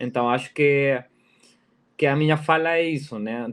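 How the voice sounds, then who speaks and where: Speaking with a Spanish accent, a man uses a fairly high pitch and ordinary pitch variation. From Peru. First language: Spanish (speaking Portuguese). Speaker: design professor and researcher. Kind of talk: conference talk. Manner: halting, many fillers and repetitions.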